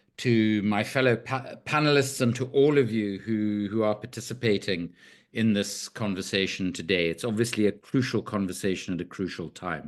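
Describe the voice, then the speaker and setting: In an unremarkable speaking voice, a fairly low-pitched man talks at a moderate pace with hardly any pauses and ordinary pitch variation, over a quiet background. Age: 60s. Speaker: arms trade researcher and author. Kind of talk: panel discussion.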